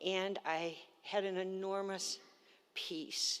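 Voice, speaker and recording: Over a very clean recording with a silent background, a woman of medium pitch speaks in a monotone, flat intonation. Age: 70s. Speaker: cancer patient. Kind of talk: testimony. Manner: halting.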